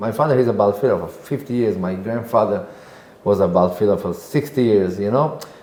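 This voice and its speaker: A man speaks very fast with an Israeli accent, fairly low in pitch with ordinary pitch variation. Noticeable background noise runs behind him. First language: Hebrew. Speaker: singer and composer. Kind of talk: podcast interview answer.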